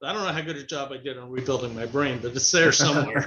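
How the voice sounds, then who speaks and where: Speaking at a very fast pace, a man uses a fairly high pitch. His intonation is fairly even. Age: 60s. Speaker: motivational speaker and author. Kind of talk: interview.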